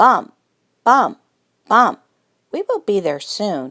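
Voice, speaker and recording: A woman's put-on character voice, fairly high in pitch, drawn out at a very slow pace with very wide pitch swings. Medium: read story. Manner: kind, gentle.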